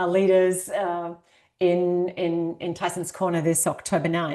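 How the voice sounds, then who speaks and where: A woman talks at a fairly slow pace in a fairly low pitch, her intonation monotone and flat. Her tone is dark and mellow, and the background is quiet. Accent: Australian. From rural Australia. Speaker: author and executive coach. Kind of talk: podcast interview.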